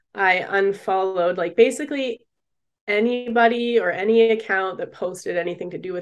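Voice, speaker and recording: A woman with a Canadian accent at a medium pitch, moderate pace and fairly even intonation, with big swings in loudness, over a quiet background. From Canada, British Columbia. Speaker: recovering drinker and psychology student. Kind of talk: casual chat. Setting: video call.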